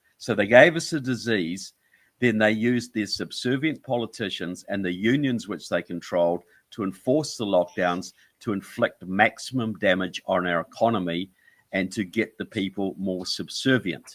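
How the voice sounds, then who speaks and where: In a New Zealand accent, a man with a fairly low pitch speaks at a moderate pace with ordinary pitch variation, on a very clean recording with a silent background. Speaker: author and filmmaker. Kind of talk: interview.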